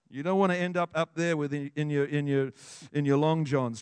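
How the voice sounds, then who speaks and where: The delivery has an animated tone over a quiet background. The sound is dry and close, with no echo. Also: man. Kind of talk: sermon, preacher in full flow. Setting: church with congregation. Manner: animated, fervent, declaring with rising intensity.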